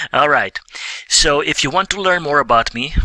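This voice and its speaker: A man talks at a moderate pace. The sound is dry and close with no echo, and background noise is noticeable. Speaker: business coach. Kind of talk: online course lecture. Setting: at his desk. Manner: halting, occasional stumbles.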